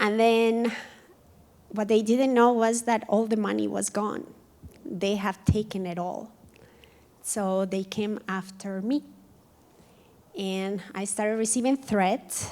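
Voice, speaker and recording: With a Colombian accent, a woman speaks at a very slow pace in a fairly high pitch, with fairly even intonation and long, frequent pauses. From Colombia, Cali. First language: Spanish. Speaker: community speaker. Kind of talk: personal testimony talk. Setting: museum event with audience.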